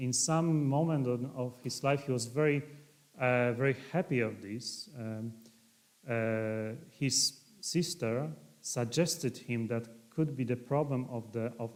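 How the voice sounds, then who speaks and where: A man talks very slowly. His medium pitch moves with ordinary variation. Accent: Polish. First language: Polish. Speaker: priest and historian. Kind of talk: lecture. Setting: livestream talk. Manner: halting.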